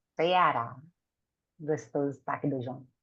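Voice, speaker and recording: A woman speaks against a quiet background. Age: old. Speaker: spiritist speaker. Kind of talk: panel discussion answering questions. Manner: halting, many fillers.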